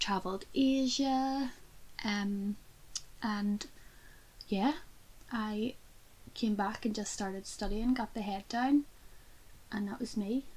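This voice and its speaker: A woman with a Belfast accent speaks at a very slow pace with long, frequent pauses. Her voice is fairly high and somewhat breathy. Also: fairly even intonation. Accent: Belfast Northern Irish. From Northern Ireland, Belfast. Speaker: podcast co-host. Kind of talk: casual chat.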